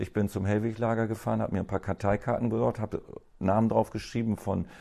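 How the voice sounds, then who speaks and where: Against a quiet background, a man's fairly low, dark, mellow voice carries vocal fry and fairly even intonation. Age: 50s. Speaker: cleaning company owner. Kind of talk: interview. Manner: hesitant, many fillers.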